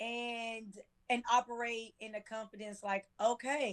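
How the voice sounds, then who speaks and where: Here a woman talks at a fairly slow pace. Her fairly high voice has a monotone, flat intonation. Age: 40s. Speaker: life coach. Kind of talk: casual chat.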